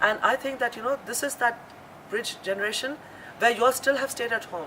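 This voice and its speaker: A high-pitched woman's voice at a fairly quick pace with ordinary pitch variation and noticeable background noise. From India. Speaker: chef and restaurant owner. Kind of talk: interview.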